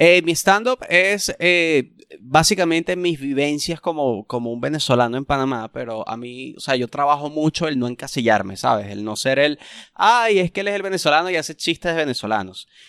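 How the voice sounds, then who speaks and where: In a very clean recording with a silent background and a dry, close sound free of echo, a man talks at a moderate pace with a fairly high pitch that swings very widely. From Venezuela, Punto Fijo, Falcón state. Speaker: stand-up comedian. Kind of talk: casual chat.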